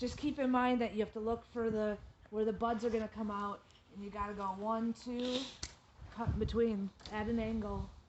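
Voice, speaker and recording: Monotone, flat intonation at a moderate pace over noticeable background noise. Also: woman, fairly high pitch for a woman. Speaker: gardening instructor. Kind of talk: tutorial.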